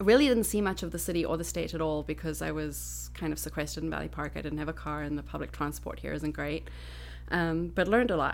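A woman speaks very fast in a Southern African accent. Audible room echo surrounds her voice. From Botswana and South Africa. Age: 40s. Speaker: environmental educator and Reiki practitioner. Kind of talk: casual chat.

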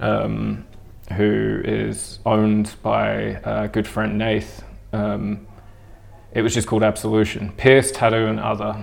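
With a New Zealand accent, a man speaks at a very slow pace, leaving long, frequent pauses. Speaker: tattooer and suspension practitioner. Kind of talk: interview conversation. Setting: recorded at a body art convention.

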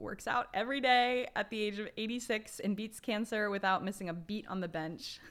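A woman uses an ordinary speaking voice at a moderate pace. Her intonation is lively. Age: 20s. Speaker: podcast host. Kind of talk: casual chat.

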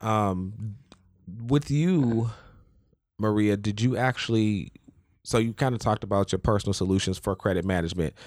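A man talks in a normal speaking voice. His pitch is fairly low, with ordinary variation. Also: very clean recording, silent background. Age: 20s. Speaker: podcast host. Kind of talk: casual chat.

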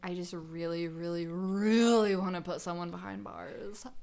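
A woman with a medium pitch talks at a moderate pace with hardly any pauses and ordinary pitch variation. Her loudness swings widely over noticeable background noise. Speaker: podcast host. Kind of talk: casual comedic chat over wine.

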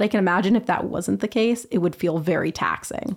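A woman with a western Canadian accent talks at a very fast pace, her medium pitch showing ordinary variation. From Vancouver, British Columbia, Canada. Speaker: university student. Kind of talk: interview. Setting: studio.

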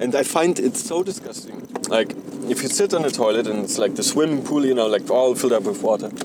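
Over noticeable background noise, a man with a German accent and medium pitch talks very fast. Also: lively intonation. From Germany. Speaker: podcaster. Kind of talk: casual monologue. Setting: in a car while driving. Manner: rambling, halting with fillers.

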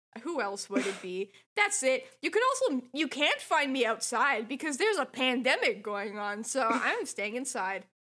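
This woman raises and projects her high-pitched voice. Her pitch swings very widely. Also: moderate pace. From France. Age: 20s. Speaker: podcast guest. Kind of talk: casual chat.

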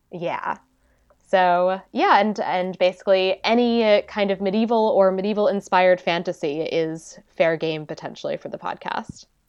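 An unremarkable speaking voice from a woman, medium in pitch, with fairly even intonation at a moderate pace. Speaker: historian, podcaster. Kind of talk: casual chat, interview.

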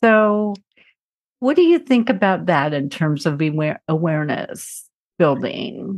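Against a quiet background, a woman with an unremarkable speaking voice and fairly low pitch talks at a fairly slow pace with lively intonation. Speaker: podcast host. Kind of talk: interview, conversational.

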